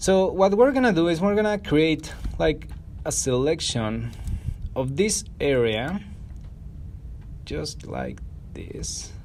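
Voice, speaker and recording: With a non-native accent, a man speaks at a very slow pace with long, frequent pauses. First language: not English. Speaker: photo editing tutorial creator. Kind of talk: tutorial. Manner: casual, conversational.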